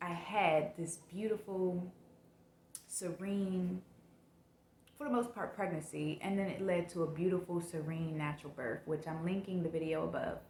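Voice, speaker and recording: The speech goes at a fairly slow pace with ordinary pitch variation. Noticeable background noise is present. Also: woman. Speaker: mom vlogger. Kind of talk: personal vlog testimony.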